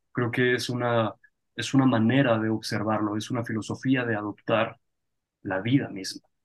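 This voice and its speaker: A man talks at a moderate pace, his medium-pitched voice flat and monotone. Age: 30s. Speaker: podcast host. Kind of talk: interview conversation.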